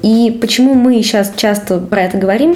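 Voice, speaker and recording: Noticeable background noise is present. The pace is moderate, with ordinary variation in pitch. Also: woman. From Russia, Cheboksary. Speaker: game writer. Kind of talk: casual interview.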